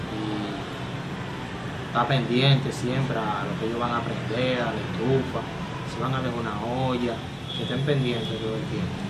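Long, frequent pauses break up speech at a moderate pace. Loud background noise fills the recording. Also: man. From Dominican Republic. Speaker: firefighter. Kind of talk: interview answer. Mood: subdued, serious. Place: home room. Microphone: phone near.

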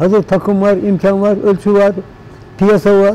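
At a moderate pace, a man speaks in a high pitch. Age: 80s+. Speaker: plastic goods workshop owner. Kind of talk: documentary interview answer. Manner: casual, conversational. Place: workshop. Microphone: lapel.

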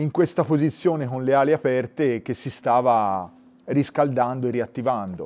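The speaker is a man talking at a moderate pace. His pitch varies in an ordinary way. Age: 40s. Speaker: nature photographer. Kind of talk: interview. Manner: halting, with repetitions and fillers. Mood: enthusiastic storytelling. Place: studio.

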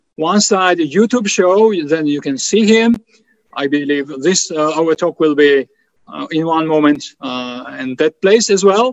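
In a Georgian accent, the speaker uses lively intonation at a fairly slow pace, with a dry sound with no echo and a quiet background. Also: man. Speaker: think tank president; host introducing the speaker. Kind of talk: event moderation and Q&A. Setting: video call. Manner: halting. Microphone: video call.

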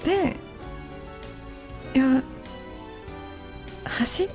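A woman speaks with a high pitch over faint background music. The sound is dry, with no echo. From Kansai, Japan. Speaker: voice actress and idol. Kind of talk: late-night radio talk. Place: studio. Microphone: studio mic.

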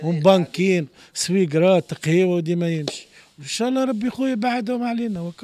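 The intonation is lively and the pace moderate. The sound is dry, with no echo. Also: man, high pitch for a man. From Tunisia. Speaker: former drug user; interviewee. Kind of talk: street interview. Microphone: handheld.

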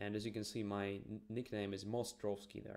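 Against a quiet background, a man with a fairly low pitch speaks at a moderate pace. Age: young. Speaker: chess streamer. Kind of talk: live commentary while playing chess; live game commentary. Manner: hesitant with many fillers. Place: home room.

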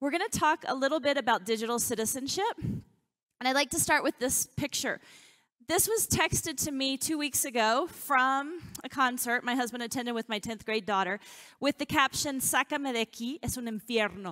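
A woman's high, bright, sharp voice with lively intonation at a moderate pace, over a quiet background. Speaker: teacher. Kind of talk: public talk. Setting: stage with audience. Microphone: headset.

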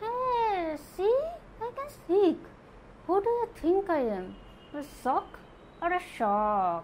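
Putting on a playful character voice at an extremely high pitch, a woman speaks very slowly with long, frequent pauses over clear background noise. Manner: playful, ventriloquist-style.

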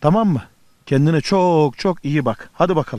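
With music in the background, a man talks at a fairly quick pace in a fairly high pitch and with lively intonation. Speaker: TV travel show host. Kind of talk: TV travel show presenting, street interview. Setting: outdoors. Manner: upbeat, cheerful.

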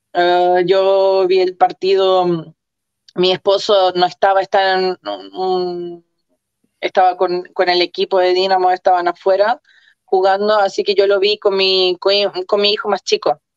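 Delivered with monotone, flat intonation at a fairly slow pace, the speech sounds dry with no echo over a quiet background. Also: woman, medium pitch for a woman, very even loudness. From Chile. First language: Croatian (speaking Spanish). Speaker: football fan, coach's daughter; coach's daughter. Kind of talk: interview. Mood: warm, emotional. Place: home room. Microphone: video call.

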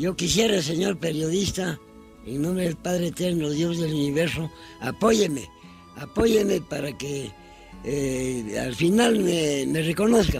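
A man with a fairly high pitch talks at a fairly slow pace with lively intonation. The sound is dry with no echo, and faint music plays in the background. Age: 80s+. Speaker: retired mine work supervisor. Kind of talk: interview answer. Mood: pleading, emotional. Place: garden.

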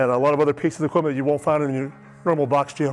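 Faint music plays in the background. A man speaks at a very fast pace with fairly even intonation. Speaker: gym owner or trainer. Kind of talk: tutorial. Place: gym.

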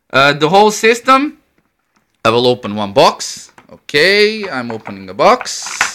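A man with a Croatian accent speaks at a fairly slow pace with lively intonation. His tone is bright and sharp, and the background is quiet. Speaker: electronics hobbyist demonstrating a homemade device. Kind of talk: tutorial. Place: home room. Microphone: phone near.

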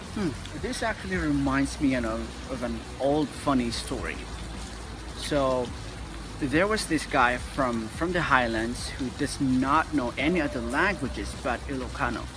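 A man talks fairly slowly with a dry, echo-free sound while noticeable background noise persists. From Philippines, Igorot highlands. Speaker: vlogger. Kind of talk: casual talk to camera. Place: street. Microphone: phone near.

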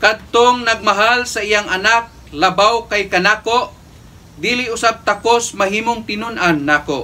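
This raised, projected voice has a bright, sharp tone, moves at a fairly slow pace, and uses ordinary pitch variation. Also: man, high pitch for a man. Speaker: priest. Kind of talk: homily and Mass presiding, preaching in a solemn, pastoral tone. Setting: church. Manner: earnest, measured, formal preaching cadence. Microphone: camera far.

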